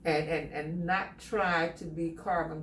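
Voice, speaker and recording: A woman speaks at a moderate pace with a very deep, low pitch and monotone, flat intonation. Noticeable background noise is present. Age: 70s. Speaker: salon client. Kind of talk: interview answer.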